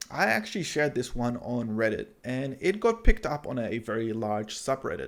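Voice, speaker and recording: Here is a man with an unremarkable speaking voice, medium in pitch and moving at a moderate pace. His pitch varies in an ordinary way, and he leaves hardly any pauses. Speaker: YouTuber, web and app developer. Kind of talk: vlog-style talk to camera.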